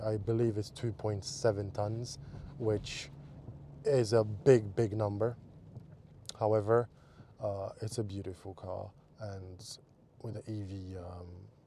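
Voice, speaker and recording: A man's fairly low, dark, mellow, somewhat breathy voice, fairly slow with long, frequent pauses, ordinary pitch variation and big swings in loudness. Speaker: car vlogger. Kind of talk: casual driving commentary. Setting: in a car. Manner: hesitant, many fillers.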